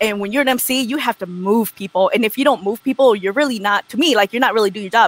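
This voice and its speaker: A woman with an American accent talks at a very fast pace, with hardly any pauses. Her pitch varies in an ordinary way, and the sound is dry and close with no echo. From Wisconsin, US Midwest. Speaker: MC and DJ. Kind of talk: casual chat. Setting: live-streamed video call. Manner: casual, filler-heavy.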